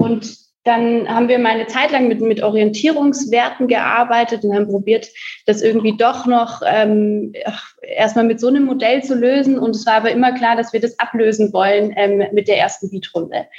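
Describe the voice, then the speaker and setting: A woman talks at a moderate pace with fairly even intonation and a fairly high pitch. It is an ordinary speaking voice. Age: 20s. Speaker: coworking space co-founder. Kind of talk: podcast interview.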